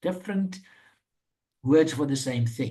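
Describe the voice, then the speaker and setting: In a room with audible echo, a man's dark, mellow voice moves through very wide pitch swings. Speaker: maths course facilitator. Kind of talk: online lecture.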